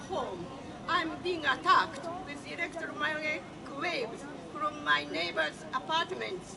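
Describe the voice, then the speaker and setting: A woman's raised, projected voice, high in pitch, at a fairly slow pace over noticeable background noise. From Japan. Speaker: activist, event organizer. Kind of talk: speech at a public demonstration. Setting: outdoors.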